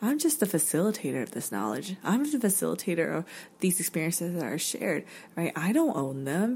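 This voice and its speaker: Vocal fry and very wide pitch swings mark this woman's fairly low voice, delivered at a fairly quick pace with an American accent. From North Carolina, US South. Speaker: podcast host. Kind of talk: casual interview conversation.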